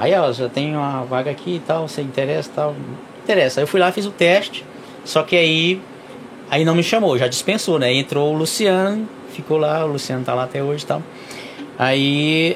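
Amid noticeable background noise, a man with a fairly high pitch and ordinary pitch variation speaks at a moderate pace, with long, frequent pauses. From Brazil, Piauí (Valença do Piauí). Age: 40s. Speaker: truck driver. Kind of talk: casual interview.

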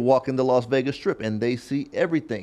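A man speaks in an ordinary speaking voice at a moderate pace. His intonation is lively, and the background is quiet. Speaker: podcast host. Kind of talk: casual interview chat.

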